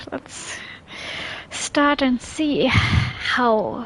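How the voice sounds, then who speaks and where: A woman with a non-native accent and lively intonation, over noticeable background noise. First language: not English. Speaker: game streamer. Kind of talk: casual live-stream gameplay commentary.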